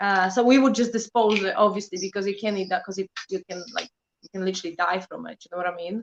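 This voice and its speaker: A woman with a Polish accent at a very fast pace and medium pitch, with fairly even intonation and a dry, close sound with no echo. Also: big swings in loudness. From Poland. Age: 30s. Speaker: prepping channel creator. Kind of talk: casual interview chat.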